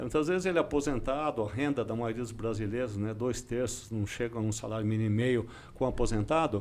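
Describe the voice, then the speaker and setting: With ordinary pitch variation, a man talks very fast in a medium pitch. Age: 60s. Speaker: public official. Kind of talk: podcast interview.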